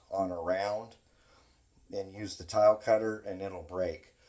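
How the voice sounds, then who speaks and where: This is a man speaking with a fairly low pitch. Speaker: knapping craftsman demonstrating tools. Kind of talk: tutorial. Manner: loud; halting, many fillers.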